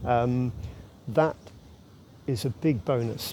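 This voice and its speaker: There's noticeable background noise as a man speaks at a medium pitch with ordinary pitch variation. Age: 60s. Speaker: wildlife researcher. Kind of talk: interview. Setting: podcast. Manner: halting.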